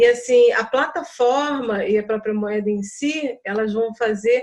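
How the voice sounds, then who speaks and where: A woman with a high pitch talks at a fairly slow pace, using ordinary pitch variation. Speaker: project participant. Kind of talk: group video call discussion. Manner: soft-spoken.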